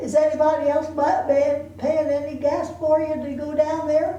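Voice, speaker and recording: A woman at a high pitch and fairly slow pace, with noticeable background noise. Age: 80s+. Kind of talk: life story told to family. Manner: hesitant, halting.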